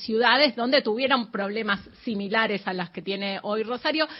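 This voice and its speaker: A plain, everyday voice rises and falls with ordinary pitch variation. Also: woman. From Argentina, Patagonia. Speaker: radio host. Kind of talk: radio interview. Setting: studio.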